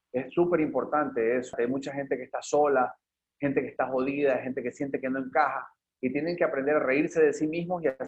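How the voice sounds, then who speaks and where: A man with an ordinary speaking voice, fairly high in pitch and at a fairly quick pace. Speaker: artist and filmmaker. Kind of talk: interview conversation. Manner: casual, slangy.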